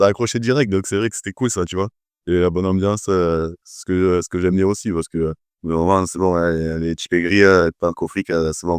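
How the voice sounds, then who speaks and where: In a quiet background, a man with a very deep, low pitch talks at a fairly quick pace, with fairly even intonation and a dry, close sound free of echo. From southern France, Toulouse. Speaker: personal trainer. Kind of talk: testimonial interview. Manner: hesitant, many fillers.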